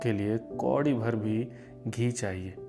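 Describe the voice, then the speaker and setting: Music in the background under a man's voice with fairly even intonation. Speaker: theatre actor. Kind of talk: short story narration. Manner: emotional, performed.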